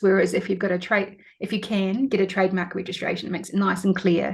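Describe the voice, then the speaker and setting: Somewhat breathy, a woman speaks at a medium pitch. Her pace is fairly quick. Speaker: lawyer. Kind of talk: interview. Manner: fast.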